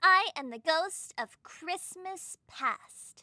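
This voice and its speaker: At a very slow pace, a woman performs a put-on character voice at an extremely high pitch. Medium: read story. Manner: brisk, bossy.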